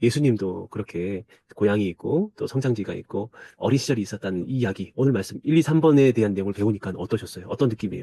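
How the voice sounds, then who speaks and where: A man's very fast delivery, fairly low in pitch with a dark, mellow tone and ordinary pitch variation, in a dry, close sound with no echo. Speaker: church discipleship trainer. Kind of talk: recorded training lecture. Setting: self-recorded video.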